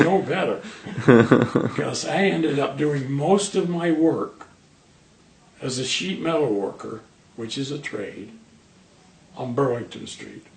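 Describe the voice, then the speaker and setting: Over noticeable background noise, a man talks with lively intonation at a fairly slow pace, leaving long, frequent pauses. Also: fairly high pitch for a man, big swings in loudness. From northern England, Manchester. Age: 70s. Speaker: cancer patient, retired sheet metal worker. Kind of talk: interview.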